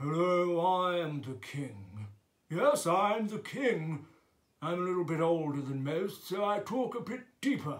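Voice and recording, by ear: A man puts on a character voice, pitched high and delivered at a fairly slow pace.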